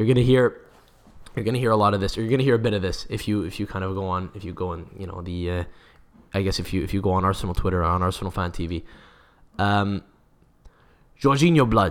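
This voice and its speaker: A man's animated, very fast speech with a North American accent, fairly low in pitch with ordinary pitch variation, broken by long, frequent pauses. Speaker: football podcast host. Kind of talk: casual chat.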